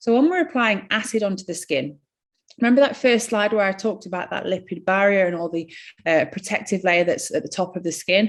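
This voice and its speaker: At a fairly quick pace, a woman with a northern English accent speaks at a medium pitch. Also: ordinary pitch variation. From northern England. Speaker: skin care practitioner. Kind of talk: webinar presentation. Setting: online webinar.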